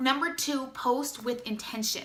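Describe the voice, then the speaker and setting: A woman talks at a high pitch with ordinary pitch variation. There is noticeable noise behind her. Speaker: direct sales distributor. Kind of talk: tutorial. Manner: fast; casual, chatty.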